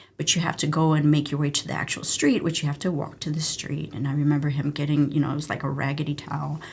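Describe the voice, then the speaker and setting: Speaking very fast with hardly any pauses, a woman with a Spanish accent has a very deep, low pitch and a somewhat breathy voice. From Mexico, moved to US around age 6-7. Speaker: emergency physician, former army medic. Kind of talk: interview conversation. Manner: animated storytelling.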